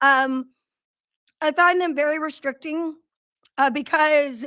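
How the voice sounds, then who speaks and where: Raised and projected, a woman's high-pitched voice carries a bright, sharp tone. She speaks at a fairly slow pace with fairly even intonation. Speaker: business owner hosting livestream. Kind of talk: live stream talk. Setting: live video stream. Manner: loud.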